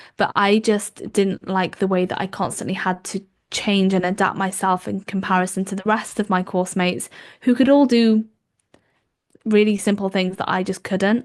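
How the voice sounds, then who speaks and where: A woman with a Welsh accent talks at a moderate pace and medium pitch with fairly even intonation over a quiet background. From Wales. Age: 20s. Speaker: podcast host and journalist. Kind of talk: casual chat. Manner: halting, many fillers.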